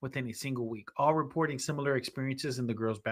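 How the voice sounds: The text is read in a natural reading voice whose pitch varies in an ordinary way.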